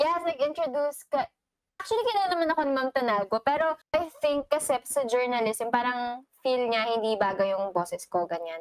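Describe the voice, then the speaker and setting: At a fairly quick pace, a woman speaks in a high voice with very wide pitch swings and very even loudness. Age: 20s. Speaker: podcast co-host. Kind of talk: casual chat.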